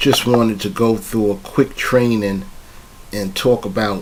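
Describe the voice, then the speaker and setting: A man speaks at a fairly slow pace with a fairly low pitch and ordinary pitch variation. Background noise is noticeable. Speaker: trading coach. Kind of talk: tutorial. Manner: casual.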